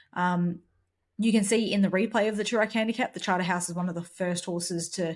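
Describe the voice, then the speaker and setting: A somewhat breathy voice at a fairly quick pace, with fairly even intonation. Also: woman. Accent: Australian. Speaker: horse racing podcast co-host. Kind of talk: casual chat.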